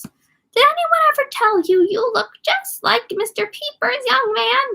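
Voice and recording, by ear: Using a put-on character voice, a woman speaks at a fairly slow pace with an extremely high pitch.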